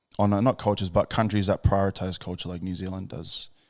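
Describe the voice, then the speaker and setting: A man with an Australian accent speaks at a fairly low pitch on a very clean recording with a silent background. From Australia, Gold Coast. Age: 20s. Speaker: podcast host. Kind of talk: casual chat.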